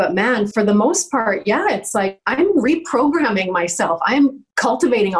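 Going at a fairly slow pace, a woman with a fairly high pitch swings her pitch very widely. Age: 40s. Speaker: life coach. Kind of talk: interview. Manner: animated.

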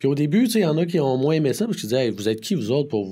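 Recorded very cleanly against a silent background, a man with a Quebec accent speaks at a fairly high pitch with very wide pitch swings, somewhat breathy and in a dark, mellow tone. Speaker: community development director and speaker. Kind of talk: interview.

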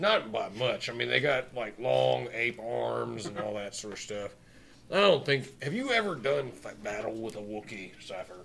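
Raspy and medium in pitch, a man performs a put-on character voice at a moderate pace. Light background noise runs underneath. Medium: actual play. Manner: gruff, blustering.

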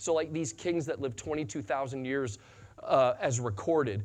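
Over a quiet background, a man with an American accent speaks at medium pitch, somewhat breathy, with ordinary pitch variation. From US Midwest, western Illinois. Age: 40s. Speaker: pastor. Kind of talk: sermon. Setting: church.

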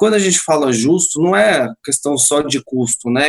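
This man's intonation is lively. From Portugal. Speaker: live marketing lead, company partner. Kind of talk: casual chat. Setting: video call.

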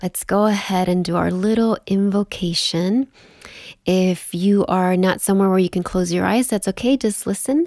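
A woman's normal speaking voice at medium pitch, with fairly even intonation and very even loudness, on a very clean recording with a silent background. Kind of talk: guided meditation. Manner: slow, soothing and gentle, with calm pauses.

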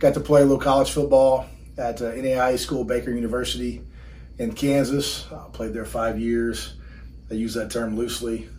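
A man in a Texan accent at a moderate pace, with big swings in loudness and audible room echo. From Texas, Burkburnett near Wichita Falls. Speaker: strength coach. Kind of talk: casual chat. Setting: in person, in his gym.

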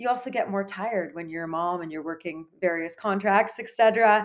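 At a moderate pace, a woman with a Canadian accent talks in an ordinary speaking voice. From Canada. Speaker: sports dietitian. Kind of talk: interview.

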